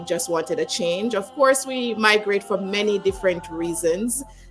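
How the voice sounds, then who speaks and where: With music in the background, a woman speaks in a Jamaican accent at a moderate pace. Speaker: leadership speaker. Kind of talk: interview. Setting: live stream.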